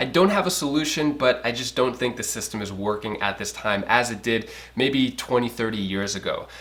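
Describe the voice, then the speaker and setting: A man with a medium-pitched voice talks at a fairly quick pace with hardly any pauses, against noticeable background noise. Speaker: finance news youtuber. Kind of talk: casual news commentary. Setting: home. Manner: fast.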